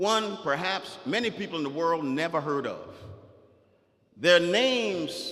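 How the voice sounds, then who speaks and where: A man with a South Carolina accent speaks in a high, animated voice at a fairly slow pace, with long, frequent pauses. Audible room echo surrounds him. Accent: Southern US (South Carolina). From US South. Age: 60s. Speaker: author and guest speaker. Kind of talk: motivational speech to students. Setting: school assembly with audience. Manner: animated, interactive with audience.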